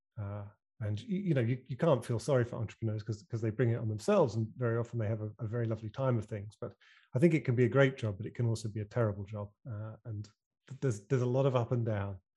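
A man with a British accent speaks very fast at a medium pitch with fairly even intonation. His tone is dark and mellow, somewhat breathy, over a quiet background. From UK. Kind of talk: casual interview chat. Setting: video call.

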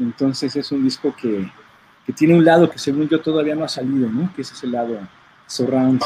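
Noticeable background noise behind a man at medium pitch with fairly even intonation. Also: big swings in loudness. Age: 40s. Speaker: audio engineer and record producer. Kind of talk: casual chat.

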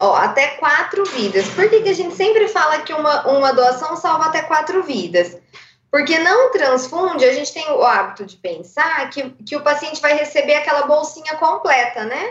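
Speaking at a moderate pace, a woman with a high pitch makes very wide pitch swings and big swings in loudness. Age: 30s. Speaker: blood bank donor relations worker. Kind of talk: radio interview.

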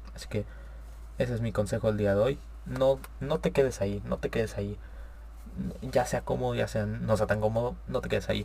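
With a northern Mexican accent, a man talks at a fairly quick pace but leaves long, frequent pauses. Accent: northern Mexican (Monterrey) Spanish. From Monterrey, Nuevo León, Mexico. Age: young. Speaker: podcast host. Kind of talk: casual solo talk show monologue. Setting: live stream. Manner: casual, slangy, with filler hesitations.

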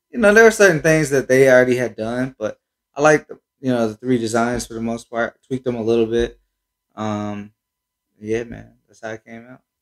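In an American accent, a man with an ordinary speaking voice talks at a moderate pace and medium pitch, with ordinary pitch variation, big swings in loudness, and a dry, close sound with no echo. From Cincinnati, Ohio, US Midwest. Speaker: sneaker shop owner. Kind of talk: casual chat.

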